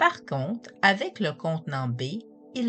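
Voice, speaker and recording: With music in the background, a woman speaks very slowly at a very deep, low pitch, her intonation lively. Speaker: hypnotherapist. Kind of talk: narrated talk on positive thinking and hypnosis.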